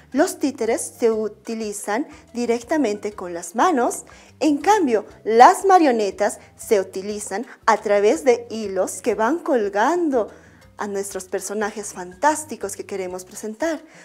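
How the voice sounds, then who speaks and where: A woman speaks at a fairly slow pace, her loudness swinging widely, with faint music in the background. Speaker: primary school art teacher. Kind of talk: educational TV lesson. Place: studio. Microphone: lapel.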